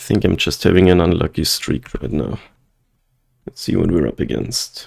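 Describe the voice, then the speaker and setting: A soft-spoken man with vocal fry talks at a moderate pace in a dark, mellow tone. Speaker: gaming streamer. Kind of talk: gameplay commentary. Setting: at home, night.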